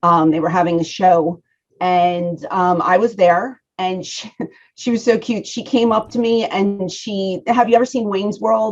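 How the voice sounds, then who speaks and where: A woman speaks in a strong Philadelphia accent at a medium pitch. Her pace is fairly slow, with ordinary pitch variation. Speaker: professional wrestler. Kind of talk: interview.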